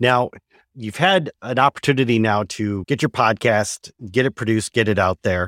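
A man with an unremarkable speaking voice talks at a fairly low pitch with lively intonation. The sound is dry and close with no echo, on a very clean recording with a silent background. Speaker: podcast host. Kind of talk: interview.

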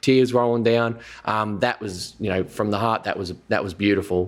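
Here is an ordinary speaking voice with ordinary pitch variation, delivered at a moderate pace. The recording is very clean, and the background is silent. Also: man. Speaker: comedian. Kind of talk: casual chat.

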